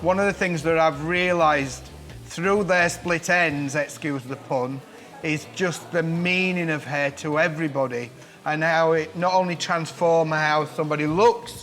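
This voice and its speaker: Over music in the background, a man with a northern English accent speaks at a fairly slow pace, his fairly high pitch carrying fairly even intonation. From northern England, Barnsley, Yorkshire. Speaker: celebrity hairdresser. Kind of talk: personal storytelling.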